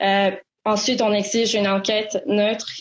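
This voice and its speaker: A woman of medium pitch talks at a fairly slow pace with fairly even intonation. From Quebec, Montreal. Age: 20s. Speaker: student activist. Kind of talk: interview. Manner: halting.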